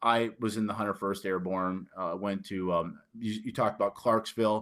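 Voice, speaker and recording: On a very clean recording with a silent background, a man with a fairly low pitch and a northern US accent talks in a monotone, flat intonation with hardly any pauses. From Detroit, Michigan, US. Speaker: author and army veteran. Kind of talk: interview. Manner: halting, many fillers and repetitions.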